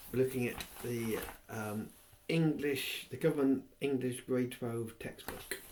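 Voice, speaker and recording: This man has an English accent and a medium pitch. His intonation is fairly even and his pace fairly slow. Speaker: reader of a textbook aloud. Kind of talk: reading aloud from a textbook.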